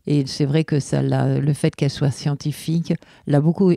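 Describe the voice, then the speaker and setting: A dark, mellow tone comes through a dry, close sound with no echo, at a fairly slow pace with fairly even intonation. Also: woman. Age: 60s. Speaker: bereaved mother. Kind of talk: testimony. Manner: halting.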